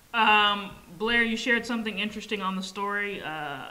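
Speaking at a moderate pace, a woman keeps her medium-pitched voice to fairly even intonation. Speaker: sneaker podcast co-host. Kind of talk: casual chat.

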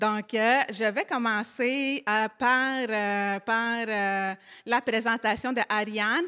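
Against a quiet background, a woman with a bright, sharp tone talks at a very slow pace, her intonation fairly even and her loudness very even. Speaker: panel moderator. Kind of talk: live panel moderation. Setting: live panel at a community centre. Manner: halting. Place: hall. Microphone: handheld.

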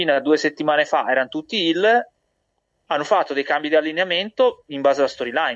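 A man with a fairly high pitch has an unremarkable speaking voice. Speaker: wrestling podcast co-host. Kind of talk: heated argument over wrestling booking. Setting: video call, connected remotely. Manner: interrupting, rapid-fire.

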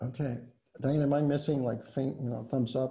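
A man with an American accent speaks at a moderate pace in a dark, mellow, somewhat breathy tone. His medium-pitched voice stays monotone and flat. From Indiana. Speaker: architect and preservation director; architect giving a lecture. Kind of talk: lecture. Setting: video call.

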